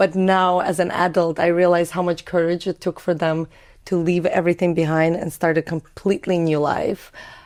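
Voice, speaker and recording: Her fairly low voice stays in a monotone, flat intonation as this woman speaks. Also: moderate pace, quiet background. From Azerbaijan (Baku), Russian-speaking. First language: Russian. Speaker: entrepreneur. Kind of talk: podcast interview.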